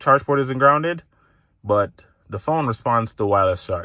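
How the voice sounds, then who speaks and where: Recorded very cleanly against a silent background, the voice has a bright, sharp tone and ordinary pitch variation. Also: man. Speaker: tech vlogger. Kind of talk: casual vlog monologue. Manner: halting, with many false starts.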